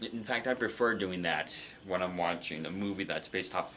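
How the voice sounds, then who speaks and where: A man is speaking. His pace is moderate. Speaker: movie reaction youtuber. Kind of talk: casual monologue, movie review. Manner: halting.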